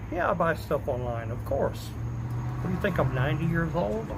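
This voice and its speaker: A man's moderately paced speech comes through with audible room echo and noticeable background noise. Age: 50s. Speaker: livestreamer. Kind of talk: casual chat.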